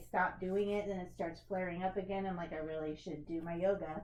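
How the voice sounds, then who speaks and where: A woman with a medium pitch speaks with audible room echo around her voice. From US, Kentucky. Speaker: yoga instructor. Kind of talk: casual chat.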